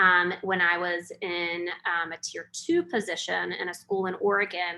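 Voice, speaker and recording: A woman with a North Carolina accent, fairly low in pitch and monotone, flat in intonation, against a quiet background. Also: fairly slow pace. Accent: Southern US (North Carolina). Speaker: educator and webinar presenter. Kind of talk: webinar presentation. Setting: online webinar.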